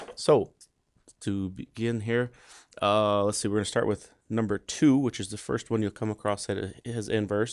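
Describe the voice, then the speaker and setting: This man's fairly low voice holds a fairly even intonation over a quiet background. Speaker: math teacher. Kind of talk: tutorial. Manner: fast.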